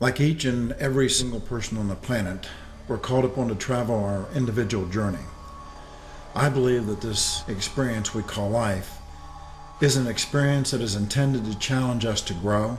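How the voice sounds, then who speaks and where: The pitch varies in an ordinary way. There is audible room echo and music in the background. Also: man, medium pitch for a man, moderate pace. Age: 60s. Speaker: inspirational speaker. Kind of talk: motivational talk.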